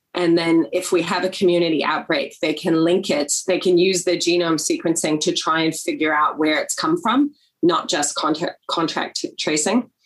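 A woman with a New Zealand accent speaks at a moderate pace and a fairly low pitch. Her pitch varies in an ordinary way, and she barely pauses. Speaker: politician. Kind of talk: webinar interview. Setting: video call.

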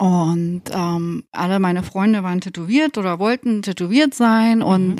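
In a dry, close recording with no echo, a woman speaks at a medium pitch with a dark, mellow tone and ordinary pitch variation. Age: 40s. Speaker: tattoo artist and studio owner. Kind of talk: casual chat.

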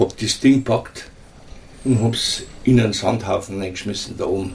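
Pitch movement in this voice is ordinary. The man talks at a medium pitch. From Munich, Bavaria. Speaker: rock'n'roll guitarist. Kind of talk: oral history interview.

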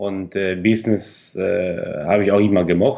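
In a Spanish accent, a man speaks at a fairly low pitch against a quiet background. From Argentina. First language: Spanish (speaking German). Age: 30s. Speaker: yarn company owner. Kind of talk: interview. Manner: halting.

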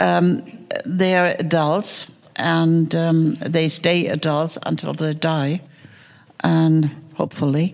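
A woman speaks at a very slow pace in a very deep, low voice, leaving long, frequent pauses. Her loudness stays very even and her intonation fairly even. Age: 70s. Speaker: film producer and screenwriter. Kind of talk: panel discussion. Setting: stage with audience.

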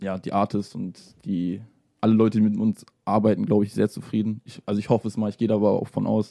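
This man's voice is fairly low in pitch, with a dark, mellow tone. He talks at a fairly quick pace. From Salzgitter, Lower Saxony. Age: young. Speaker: music producer. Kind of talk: casual radio interview. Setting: radio studio.

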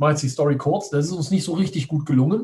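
With a dark, mellow tone and a somewhat breathy quality, a man speaks at a fairly high pitch with ordinary pitch variation. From Düsseldorf, western Germany. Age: 40s. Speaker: online entrepreneur. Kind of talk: interview.

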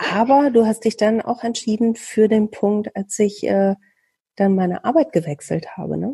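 A woman's fairly high, somewhat breathy voice at a moderate pace, with ordinary pitch variation and a dry, close sound with no echo. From Bielefeld, Germany. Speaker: podcast host, radio worker. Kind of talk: casual interview.

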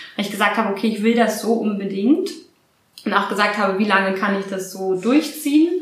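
Audible room echo surrounds a woman talking at a fairly quick pace. Her pitch is medium, with ordinary variation. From Berlin, Germany. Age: 30s. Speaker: event manager. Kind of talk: interview.

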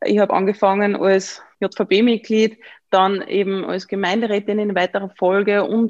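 Monotone, flat intonation from a woman with an Upper Austrian accent, dry and close with no echo. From Upper Austria (Mühlviertel). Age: 20s. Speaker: member of parliament. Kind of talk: interview. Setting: video call.

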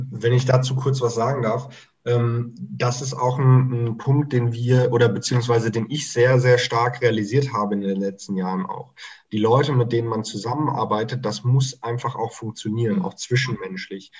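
Somewhat breathy speech at a moderate pace, fairly even in intonation, with hardly any pauses. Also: man, medium pitch for a man. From Germany (near Mainz) and Mozambique. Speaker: startup consultant. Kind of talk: casual interview chat.

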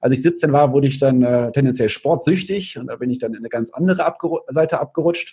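A man speaks at a very fast pace with a medium pitch and ordinary pitch variation. His voice is somewhat breathy, with a dark, mellow tone. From Cologne, Germany. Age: 30s. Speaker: nutrition speaker and author. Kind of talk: interview.

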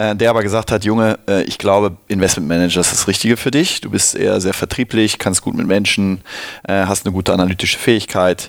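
A man with a plain, everyday voice talks at a fairly quick pace, fairly low in pitch and with fairly even intonation. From Cologne, Germany. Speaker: venture capital investor. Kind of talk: interview. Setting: studio.

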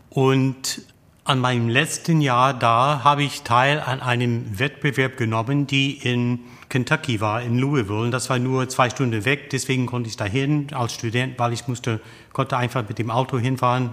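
A man with an English accent speaks in a medium pitch at a moderate pace, his intonation flat and monotone. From USA, tobacco-farming family. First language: English (speaking German). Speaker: opera tenor. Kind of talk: interview. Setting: opera house foyer.

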